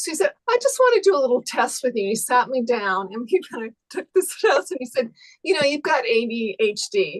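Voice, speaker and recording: Talking at a fairly quick pace, a woman uses a high pitch with very wide swings, in a dry, close sound with no echo. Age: 60s. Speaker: retired Wall Street trader, zoom participant. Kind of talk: casual chat.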